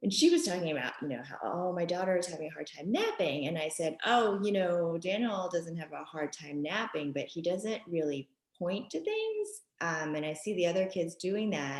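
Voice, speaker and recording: In a New York accent, a woman speaks at a moderate pace with a fairly low pitch and ordinary pitch variation. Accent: New York area American. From US Northeast, Westchester, New York (born in Japan, moved at five). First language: Japanese. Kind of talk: podcast interview. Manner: hesitant, many fillers.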